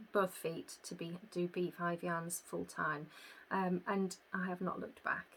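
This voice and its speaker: A woman with a Yorkshire accent speaks slowly in a fairly low pitch, her intonation monotone and flat. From northern England, York. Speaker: podcast host, yarn business owner. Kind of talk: casual chat. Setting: home recording. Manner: hesitant, many fillers.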